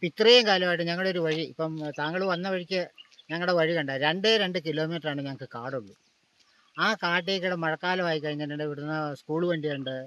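Pitched high, a man speaks in a bright, sharp tone with ordinary pitch variation. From Kerala, Idukki district. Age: 70s. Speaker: villager. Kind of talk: interview.

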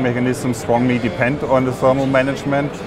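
The sound is dry with no echo as a man speaks over noticeable background noise. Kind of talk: interview answer. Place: hall. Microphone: lapel.

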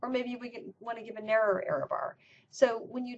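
Light background noise accompanies a woman speaking at a moderate pace. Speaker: university professor. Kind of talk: lecture. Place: office. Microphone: webcam.

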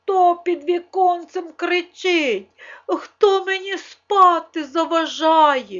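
A woman uses a put-on character voice pitched extremely high, speaking at a very slow pace. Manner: groggy, annoyed.

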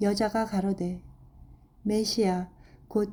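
A dark, mellow tone, somewhat breathy, at a fairly slow pace with monotone, flat intonation. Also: woman. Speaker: Bible reader. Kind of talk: reading aloud.

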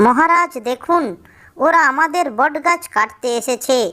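A woman uses a high, cartoonish character voice with lively intonation at a fairly slow pace. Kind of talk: children's cartoon. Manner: respectful, polite.

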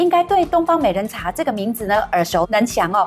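Over faint music in the background, a woman talks at a fairly quick pace. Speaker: talk show host. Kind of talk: interview host chat. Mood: cheerful, warm. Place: studio. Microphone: lapel.

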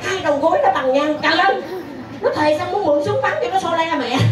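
Crowd noise fills the background. A woman talks at a fairly quick pace. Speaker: stage comedian host. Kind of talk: comic stage monologue. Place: stage.

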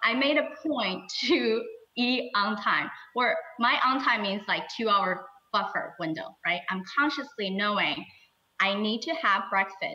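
A woman's fairly high-pitched voice with a bright, sharp tone and lively intonation. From China. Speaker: surgeon. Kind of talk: interview answer. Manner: casual, conversational.

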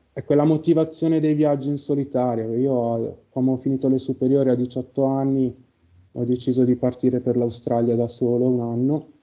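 A man with fairly even intonation against a quiet background. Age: 30s. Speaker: carpenter and session client. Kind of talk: casual chat. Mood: reflective, calm. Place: home room.

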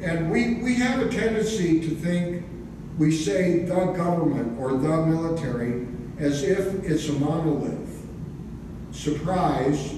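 A man is heard in strong room echo. Noticeable background noise is present too. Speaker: retired police investigator and UFO researcher. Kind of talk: presentation. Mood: wry, lightly humorous. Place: hall. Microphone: camera far.

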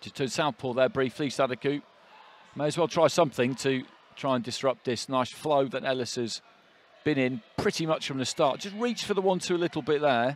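Fairly quick and with ordinary pitch variation, this is an ordinary speaking voice. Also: man, fairly high pitch for a man. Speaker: boxing commentator. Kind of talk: live ringside boxing commentary with expert analysis. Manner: flowing, run-on analytical delivery between punches; measured, knowledgeable, calmly confident.

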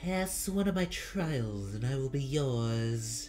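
Delivered at a fairly slow pace, this put-on character voice sits at a low-to-middle pitch over clear background noise. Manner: menacing, challenging.

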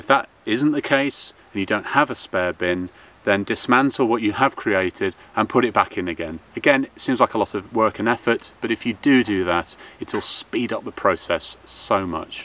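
Dry with no echo, a man's bright, sharp voice moves at a moderate pace with ordinary pitch variation. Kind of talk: tutorial.

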